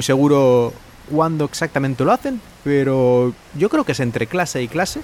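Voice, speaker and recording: Against noticeable background noise, a man talks with lively intonation at a fairly high pitch. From Spain. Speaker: podcaster and Spanish teacher. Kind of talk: solo podcast monologue.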